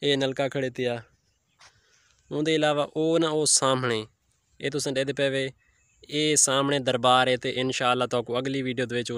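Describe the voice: At a moderate pace, a man speaks at medium pitch in a clear, smooth, fairly bright tone with little pitch movement.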